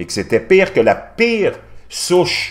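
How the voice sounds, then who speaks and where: The man's delivery moves at a moderate pace. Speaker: news commentator youtuber. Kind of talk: commentary.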